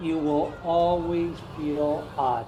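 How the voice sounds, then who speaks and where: Music in the background and audible room echo behind a man's voice. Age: 60s. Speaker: founder of an ayahuasca retreat center. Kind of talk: podcast interview.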